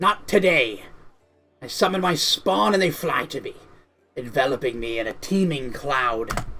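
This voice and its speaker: Faint music plays behind a man using a put-on character voice. His voice is raspy and fairly high-pitched. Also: moderate pace. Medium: game stream. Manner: malevolent, hungry.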